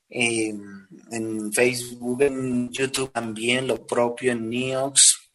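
With music in the background, a man at medium pitch speaks at a very slow pace in a monotone, flat intonation. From Bolivia, La Paz. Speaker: urban music singer. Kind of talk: interview.

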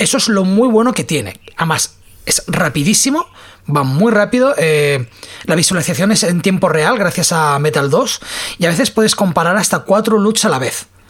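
A woman with a fairly low pitch talks at a moderate pace, swinging her pitch very widely. Noticeable background noise runs underneath. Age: 40s. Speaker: podcast host. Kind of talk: casual chat.

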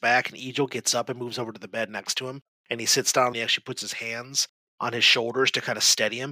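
A quiet background surrounds the speech. The words are read aloud in a natural voice.

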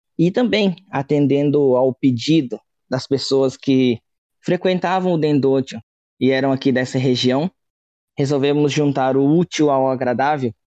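Speaking at a fairly slow pace, a man has a dark, mellow tone and a fairly high pitch with ordinary pitch variation. The sound is dry and close, with no echo. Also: very even loudness. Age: 30s. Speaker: religious missionary. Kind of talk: interview.

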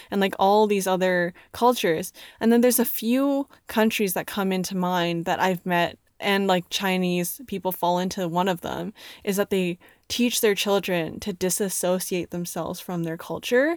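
In a very clean recording with a silent background and a dry, close sound with no echo, a woman talks at a moderate pace with medium pitch, ordinary pitch variation and an ordinary speaking voice. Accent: Canadian. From Canada. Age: young. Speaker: podcast co-host. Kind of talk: casual chat.

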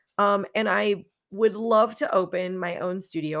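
A woman speaks in a normal speaking voice at a fairly slow pace, with ordinary pitch variation. The recording is very clean, with a silent background. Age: 30s. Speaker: podcast host, exotic dancer and pole instructor. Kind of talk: personal storytelling monologue.

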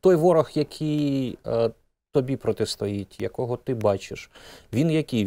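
In a very clean recording with a silent background and a dry, close sound with no echo, a man with a dark, mellow tone speaks at a fairly slow pace with lively intonation. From Zaporizhzhia, Ukraine. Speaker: radio host. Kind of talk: interview.

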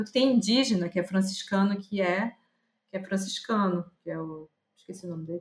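A woman speaks at a fairly quick pace in a somewhat breathy voice, with big swings in loudness. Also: medium pitch for a woman, ordinary pitch variation. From Brazil, Pará (Belém). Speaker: visual artist and curator. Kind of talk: casual interview. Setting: remote call.

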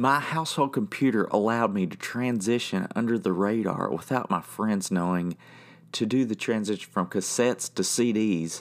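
The recording is very clean, with a silent background. A man with an unremarkable speaking voice talks at a moderate pace with ordinary pitch variation. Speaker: podcast host and band member. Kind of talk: monologue podcast episode.

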